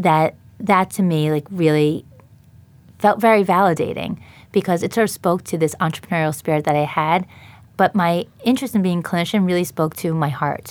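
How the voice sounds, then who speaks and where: Talking at a fairly quick pace, a woman with an American accent uses a fairly low pitch and ordinary pitch variation; a plain, everyday voice. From New York, Long Island. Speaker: dietitian and company founder. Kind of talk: interview. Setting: studio.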